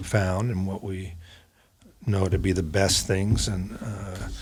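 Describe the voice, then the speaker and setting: A somewhat breathy speaker with an American accent talks at a very slow pace and fairly even intonation. The recording is very clean with a silent background. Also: man. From California, Oakland and San Francisco. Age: 60s. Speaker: chiropractor, practice founder. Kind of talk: interview. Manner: halting, many fillers.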